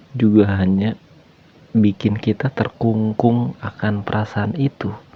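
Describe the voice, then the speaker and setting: A man speaks very slowly in a relaxed tone with a fairly low pitch, over noticeable background noise. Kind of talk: casual podcast talk about feelings. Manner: relaxed, conversational, soft-spoken.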